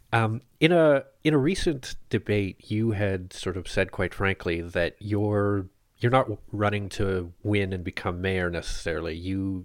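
With a Canadian accent, a man speaks in an unremarkable speaking voice, fairly low in pitch with ordinary pitch variation, on a very clean recording with a silent background. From Ottawa, Canada. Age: 30s. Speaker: podcast host, newsletter editor. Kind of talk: interview; scripted intro.

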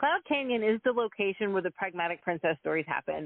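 An ordinary speaking voice from a woman with an American accent, medium pitch and lively intonation. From Texas. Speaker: research psychologist and children's author. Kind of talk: interview.

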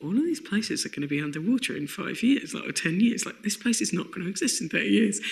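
Lively intonation from a woman with a southeast English accent. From southeast London, England. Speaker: comedian. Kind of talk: casual chat.

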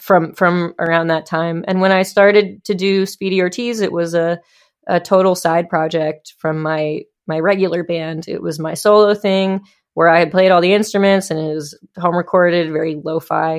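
At a moderate pace, a woman with a plain, everyday voice speaks at a fairly low pitch with fairly even intonation. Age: 30s. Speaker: musician. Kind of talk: casual chat.

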